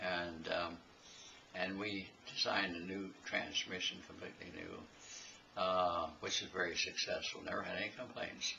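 Delivered in an American accent, the speech is monotone and flat at a moderate pace over light background noise. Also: man, very deep, low pitch for a man. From Iowa. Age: 80s+. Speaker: retired tractor engineer. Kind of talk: interview answer. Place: home room. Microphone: camera far.

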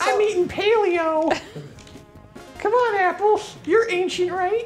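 A put-on character voice speaks at an extremely high pitch and a fairly slow pace. Clear music and clear background noise sit behind it. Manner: playful, silly.

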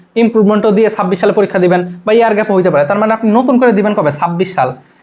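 A man's high voice with ordinary pitch variation. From Bangladesh, Rajbari. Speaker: YouTube education tutor and student. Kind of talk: advice talk to camera. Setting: home video recording to camera. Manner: casual, repetitive conversational.

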